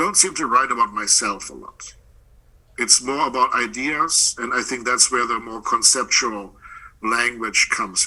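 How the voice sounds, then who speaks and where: Using a bright, sharp tone, a man with a German accent speaks at a medium pitch and a moderate pace, with ordinary pitch variation and big swings in loudness. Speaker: poet and professor. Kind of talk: interview.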